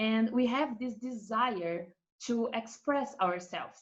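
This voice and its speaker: A woman with a Brazilian accent, fairly high in pitch, with ordinary pitch variation. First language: Portuguese. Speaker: art marketing expert. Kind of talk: presentation on a webinar panel. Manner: hesitant, with filler sounds.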